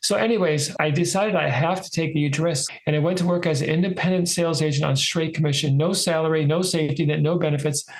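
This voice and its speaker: Over noticeable background noise, a man with a fairly high pitch talks at a very fast pace with hardly any pauses. His loudness stays very even and his intonation fairly even. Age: 60s. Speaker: author and sales agent. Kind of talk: interview storytelling.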